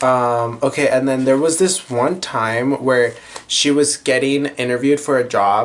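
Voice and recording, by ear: Natural-voiced reading aloud, its intonation fairly even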